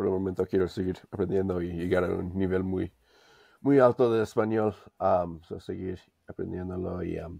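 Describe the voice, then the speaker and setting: Against a quiet background, a man with a very deep, low pitch and a dark, mellow tone speaks at a moderate pace with fairly even intonation. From US, Denver; Colorado. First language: English (speaking Spanish). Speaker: language learner; interview guest. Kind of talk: interview. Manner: hesitant, many fillers. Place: home room. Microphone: video call.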